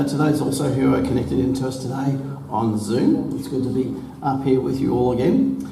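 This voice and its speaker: A man's raspy, put-on character voice at a fairly quick pace, with clear echo and clear background noise. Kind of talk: formal, welcoming address.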